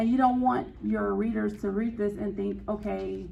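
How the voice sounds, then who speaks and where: Talking at a moderate pace, a woman with an American accent is heard with audible room echo. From Gary, Indiana, US Midwest. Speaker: novelist giving a writing talk. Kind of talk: presentation to a writers' group.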